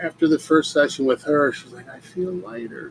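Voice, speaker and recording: Through noticeable background noise, a man with a fairly high voice speaks fairly slowly, his pitch varying in an ordinary way. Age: 60s. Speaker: mindset coach and energy healer. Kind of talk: podcast monologue. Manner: casual, with fillers.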